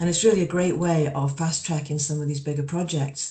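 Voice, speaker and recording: This woman has a very deep, low pitch and an English accent, with fairly even intonation. She talks at a fairly quick pace, and room echo is audible. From England. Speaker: energy company executive. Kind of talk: panel discussion. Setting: online video panel.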